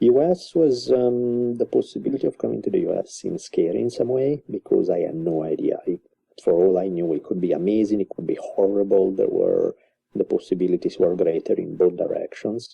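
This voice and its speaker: A man speaks with an Italian accent. His pace is fairly quick. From Italy, Milan. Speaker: author and university teacher. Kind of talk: casual interview.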